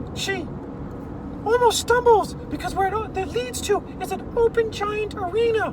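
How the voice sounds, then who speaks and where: Over loud background noise, a voice at an extremely high pitch speaks at a moderate pace. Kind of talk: improvised bedtime-style storytelling. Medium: read story. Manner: animated, self-correcting, with spoken sound effects.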